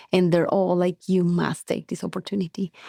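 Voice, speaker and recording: A woman with a Colombian accent speaks at a fairly low pitch in a dark, mellow tone, her intonation monotone and flat. The recording is very clean with a silent background, and the sound is dry and close with no echo. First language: Spanish. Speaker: biotech company co-founder. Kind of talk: interview.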